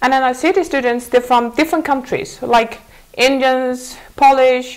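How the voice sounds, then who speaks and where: Amid noticeable background noise, a woman with a Mongolian accent speaks at a moderate pace and a high pitch. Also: ordinary pitch variation. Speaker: former student abroad. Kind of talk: TV interview. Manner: halting.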